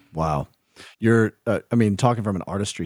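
Using an ordinary speaking voice, a man with an American accent talks at a moderate pace with a fairly low pitch and lively intonation. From US South. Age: 30s. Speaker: podcast host. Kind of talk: casual interview.

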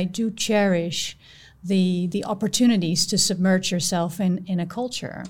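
On a very clean recording with a silent background, a woman with a Dutch accent speaks at medium pitch, somewhat breathy, with fairly even intonation. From Netherlands. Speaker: audit partner. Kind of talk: podcast conversation.

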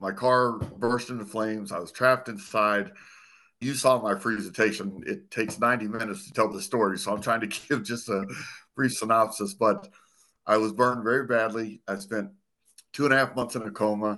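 This man's voice has a bright, sharp tone. Behind him, things stay quiet. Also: medium pitch for a man, ordinary pitch variation, moderate pace, big swings in loudness. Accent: American. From Arizona. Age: 50s. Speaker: former police officer, burn survivor and motivational speaker. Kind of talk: casual interview conversation. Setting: video call.

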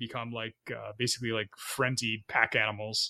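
A man's bright, sharp tone at a moderate pace. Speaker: podcast host. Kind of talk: casual chat.

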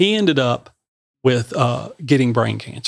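A man speaks at a fairly slow pace with vocal fry. His pitch sits in the medium range. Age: 50s. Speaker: podcast host and shop owner. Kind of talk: casual interview chat. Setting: studio.

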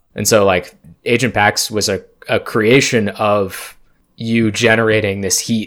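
At a fairly slow pace, a man speaks with a fairly low pitch and monotone, flat intonation. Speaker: game master and host of a tabletop roleplaying podcast. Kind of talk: casual chat.

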